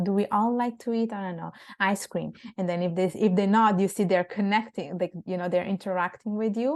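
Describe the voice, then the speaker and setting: With fairly even intonation, this speaker keeps things soft-spoken. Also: woman, quiet background. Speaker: public speaking coach, women's platform founder. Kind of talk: interview. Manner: halting, with many fillers and restarts.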